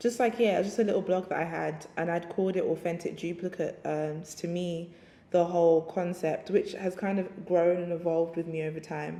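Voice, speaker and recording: With a London accent, a woman talks at a fairly quick pace and with fairly even intonation. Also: fairly low pitch for a woman. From England (London). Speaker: writer and DJ. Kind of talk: interview. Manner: casual, hesitant with fillers.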